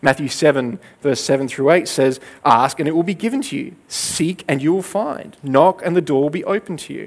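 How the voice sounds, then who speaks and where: A man at a fairly high pitch, moderate pace, with ordinary pitch variation. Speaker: preacher. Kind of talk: sermon. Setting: church. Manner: earnest, conversational teaching, steady pace. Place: stage. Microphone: headset.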